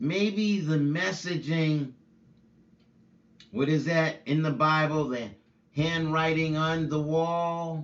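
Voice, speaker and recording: The man speaks at a very slow pace with long, frequent pauses. His pitch sits fairly high. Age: 50s. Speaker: preacher. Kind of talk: casual monologue. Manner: animated.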